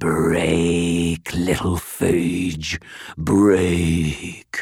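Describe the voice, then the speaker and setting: In a put-on character voice, a man speaks raspy and very deep and low, his intonation monotone and flat. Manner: purring, menacing.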